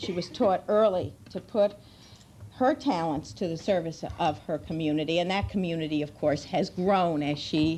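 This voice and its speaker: In a strong New York accent, a woman speaks at a moderate pace with a fairly low pitch, a dark, mellow tone, and lively intonation. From New York State. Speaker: children's policy advocate. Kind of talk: formal introduction speech. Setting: luncheon event with large audience.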